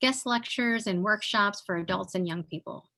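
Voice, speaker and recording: A woman's medium-pitched, ordinary speaking voice at a moderate pace. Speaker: webinar moderator. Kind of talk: panel introduction and moderation. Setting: online webinar.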